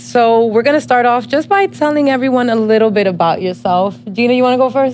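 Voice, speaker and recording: A woman with an American accent talks at a fairly high pitch and a fairly quick pace, with hardly any pauses. Her intonation is lively and her loudness very even, with music in the background. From New Jersey, Dominican family. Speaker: podcast host. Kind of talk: casual chat.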